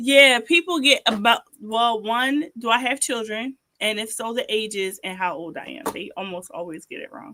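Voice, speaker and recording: Using a plain, everyday voice, a woman with a fairly high pitch speaks at a moderate pace with lively intonation, big swings in loudness and hardly any pauses. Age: 30s. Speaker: social worker and ministry channel host. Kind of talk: casual chat.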